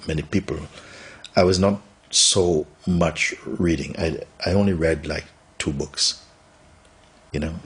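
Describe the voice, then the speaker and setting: A man speaks at a fairly slow pace. His voice is very deep and low, with fairly even intonation. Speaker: spiritual teacher. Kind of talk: interview answer. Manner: soft-spoken.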